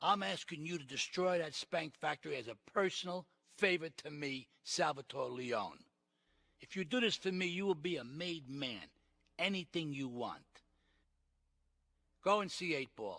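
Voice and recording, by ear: Putting on a character voice, a man speaks fairly slowly at a fairly high pitch, with lively intonation, a fairly bright tone and vocal fry.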